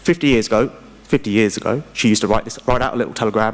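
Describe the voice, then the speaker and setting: A man with a British accent and a medium pitch speaks at a very fast pace with fairly even intonation. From UK. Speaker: investment strategist. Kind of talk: conference panel presentation.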